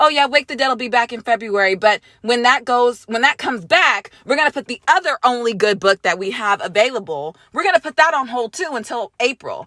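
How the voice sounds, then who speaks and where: A loud, high-pitched woman's voice with lively intonation and a dry, close sound with no echo. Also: fairly quick pace, hardly any pauses. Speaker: gaming YouTuber. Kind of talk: vlog rant. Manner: hesitant fillers.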